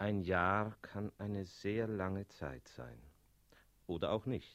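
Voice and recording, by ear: Speaking slowly in a put-on character voice, a man uses a low pitch, a fairly bright tone and lively intonation.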